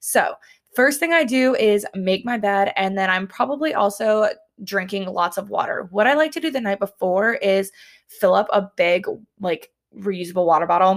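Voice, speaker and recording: A woman with a Southern US accent speaks at a moderate pace and medium pitch with lively intonation, in a very clean recording with a silent background. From US South. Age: 20s. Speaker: podcast host, dietetics student. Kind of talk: casual solo chat.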